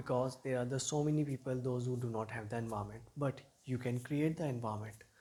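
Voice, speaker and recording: A man at medium pitch with ordinary pitch variation. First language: not English. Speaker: English teacher. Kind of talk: motivational talk to camera.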